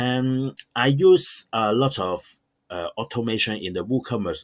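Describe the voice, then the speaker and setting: Fairly slow speech with a non-native accent and lively intonation, in a dry, close sound with no echo on a very clean recording with a silent background. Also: man. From Hong Kong. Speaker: online shop owner. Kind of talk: tutorial. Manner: halting, many fillers.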